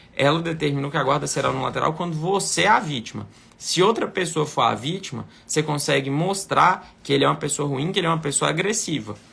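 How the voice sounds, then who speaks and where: With a bright, sharp tone, a man with a fairly high voice talks at a fairly quick pace and ordinary pitch variation. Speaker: lawyer. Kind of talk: live Q&A consultation. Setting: live stream.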